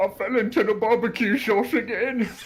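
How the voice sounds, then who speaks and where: This is a put-on character voice. The pitch is fairly high. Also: moderate pace. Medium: actual play. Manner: meek, apologetic, slow on the uptake.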